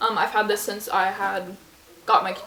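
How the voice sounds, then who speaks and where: A woman talks fairly quickly with ordinary pitch variation while noticeable background noise fills the recording. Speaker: lifestyle YouTuber. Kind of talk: casual product review vlog. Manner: fast; casual, many fillers.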